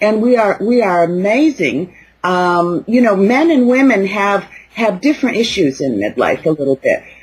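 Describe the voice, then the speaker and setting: A woman's voice comes across as somewhat breathy at a moderate pace. Her medium pitch moves in very wide swings. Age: 60s. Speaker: life coach for midlife women. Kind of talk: interview. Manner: halting, many fillers.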